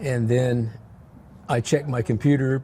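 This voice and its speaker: The voice has a dark, mellow tone and sounds somewhat breathy. Intonation is fairly even, and the pace is moderate. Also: man. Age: 80s+. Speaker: retired high school teacher. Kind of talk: casual interview. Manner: halting, repeats words.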